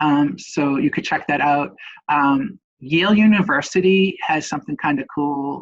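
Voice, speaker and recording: The speaker is a man with a Boston accent. His pitch is fairly high, with ordinary variation. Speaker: nurse educator, webinar presenter. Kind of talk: webinar presentation. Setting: online webinar. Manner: casual, hesitant with many fillers.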